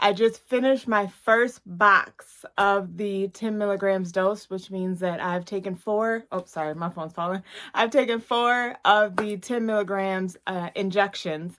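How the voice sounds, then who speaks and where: With hardly any pauses, a woman speaks at a fairly slow pace in a plain, everyday voice of medium pitch and fairly even intonation, recorded very cleanly against a silent background. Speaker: weight-loss vlogger. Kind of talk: casual vlog update.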